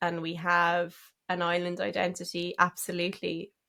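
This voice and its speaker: The recording is very clean with a silent background. A woman speaks at a fairly slow pace with a fairly low pitch. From Killarney, County Kerry. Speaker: singer-songwriter. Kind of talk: interview answer.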